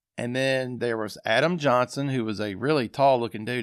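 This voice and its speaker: A man speaks with an Arkansas accent. The recording is very clean, with a silent background. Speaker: sports podcast host. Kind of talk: casual podcast monologue. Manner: conversational, with fillers.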